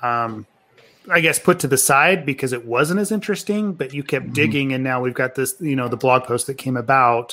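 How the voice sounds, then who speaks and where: A man speaks at a fairly quick pace in a medium pitch, his pitch varying in an ordinary way. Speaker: podcast co-host. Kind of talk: casual chat. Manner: halting.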